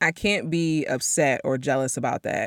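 This woman talks in an animated tone with a very deep, low pitch and ordinary pitch variation, recorded very cleanly against a silent background with a dry, close sound and no echo. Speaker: podcast host. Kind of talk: solo monologue podcast.

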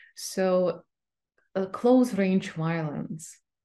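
With a Ukrainian accent, this voice has a dark, mellow tone and lively intonation at a very slow pace. The background is quiet. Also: woman. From Ukraine. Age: 30s. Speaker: literary scholar. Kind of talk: interview.

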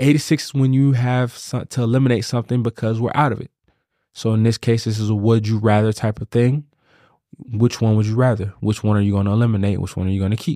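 Heard dry and close with no echo, a man with a dark, mellow tone talks very fast with fairly even intonation. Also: medium pitch for a man. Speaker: podcast host. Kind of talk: casual banter, comedic chat.

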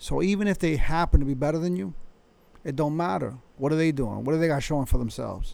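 A man with a fairly high pitch and slightly mellow tone speaks with vocal fry. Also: ordinary pitch variation, fairly quick pace.

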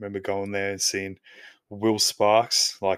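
With an Australian accent, a man speaks at a moderate pace in a fairly low pitch and monotone, flat intonation. The sound is dry and close with no echo, a very clean recording on a silent background. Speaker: podcast host. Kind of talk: solo podcast monologue.

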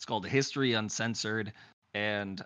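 A man with an Upper Midwest accent, fairly low in pitch, at a moderate pace. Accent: Upper Midwest American. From Wisconsin. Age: 30s. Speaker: podcast host. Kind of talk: casual chat. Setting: video call. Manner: talkative.

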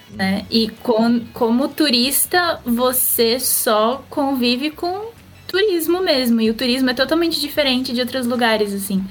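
With a high pitch and lively intonation, a woman talks at a fairly slow pace with hardly any pauses. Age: 20s. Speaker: online content creator. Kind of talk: casual chat.

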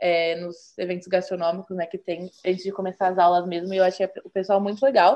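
This woman has a plain, everyday voice. She talks at a fairly quick pace. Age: 20s. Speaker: engineering student, former student association president. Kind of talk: interview.

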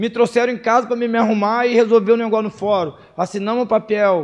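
A man's high-pitched voice. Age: 30s. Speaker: preacher. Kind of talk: sermon. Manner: emotional.

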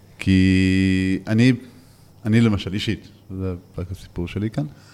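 Music plays behind a man speaking at a fairly low pitch. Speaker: podcast co-host. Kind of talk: casual interview chat.

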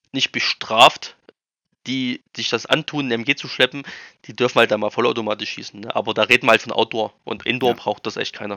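At a moderate pace, a man talks in a medium-pitched voice with monotone, flat intonation. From eastern Germany, Erfurt area. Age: 30s. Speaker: airsoft field operator. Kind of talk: podcast interview.

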